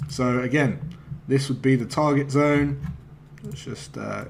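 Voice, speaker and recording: A man talks at a fairly slow pace in a medium-pitched, flat monotone, with audible room echo and noticeable background noise. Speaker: forex trading educator. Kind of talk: trading tutorial. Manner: casual, hesitant fillers.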